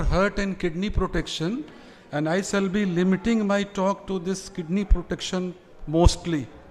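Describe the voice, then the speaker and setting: Here a man speaks at a moderate pace in a high voice. His intonation is fairly even. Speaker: physician. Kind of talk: lecture.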